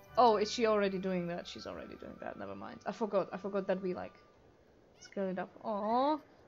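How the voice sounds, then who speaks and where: Over background music, a woman talks at a fairly quick pace and medium pitch, with ordinary pitch variation and big swings in loudness. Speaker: gaming video creator. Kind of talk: casual gameplay commentary. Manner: chatty, rambling.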